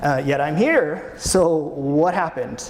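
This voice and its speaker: Audible room echo and noticeable background noise surround a man whose pitch varies in an ordinary way. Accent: Canadian. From Canada. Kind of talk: conference talk. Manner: casual, hesitant.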